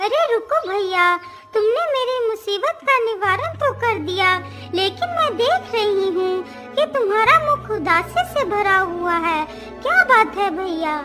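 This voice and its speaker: A cartoonish character voice speaks at a fairly slow pace over clear music in the background. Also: female-sounding voice, extremely high pitch for a woman. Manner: warm, emotional.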